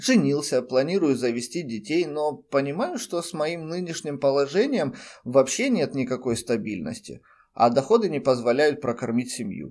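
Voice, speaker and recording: A man with a normal speaking voice, fairly high pitch, lively intonation and a moderate pace, on a very clean recording with a silent background. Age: 30s. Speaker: podcaster and freelance web specialist. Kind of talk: personal monologue.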